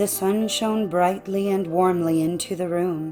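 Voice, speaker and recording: A woman speaks at a fairly slow pace in a calm, soothing tone, her voice fairly low and her intonation fairly even. Music plays in the background. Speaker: narrator. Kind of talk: audiobook fairy tale reading.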